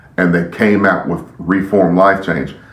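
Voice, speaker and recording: A man's very deep, low voice at a moderate pace, with ordinary pitch variation, noticeable background noise and audible room echo. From grew up moving around as an Army child. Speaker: youth pastor and podcast host. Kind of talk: podcast monologue. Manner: occasional stutter when excited; animated.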